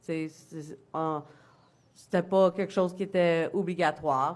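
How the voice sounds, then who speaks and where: Here a woman speaks at a fairly low pitch. Her intonation is monotone and flat. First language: English (speaking French). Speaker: former military member testifying. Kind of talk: testimony. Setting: public hearing before a commission. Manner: halting.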